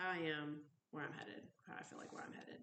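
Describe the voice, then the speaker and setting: A soft-spoken woman talks at a moderate pace. Her intonation is fairly even. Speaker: recovery vlogger. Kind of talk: personal vlog monologue. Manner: rambling, tangential.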